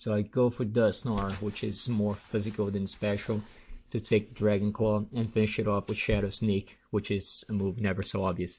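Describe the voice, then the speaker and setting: A man's fairly low, somewhat breathy voice with monotone, flat intonation against a quiet background. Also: moderate pace. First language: not English. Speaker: gaming commentator. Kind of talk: live commentary. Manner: halting; casual.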